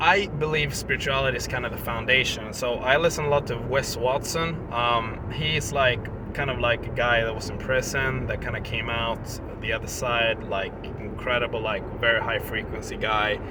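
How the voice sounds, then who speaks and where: In a Swedish accent, the speaker talks at a moderate pace with ordinary pitch variation, amid noticeable background noise and audible room echo. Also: man, medium pitch for a man. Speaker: vlogger. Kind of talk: casual vlog talk. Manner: halting, many fillers.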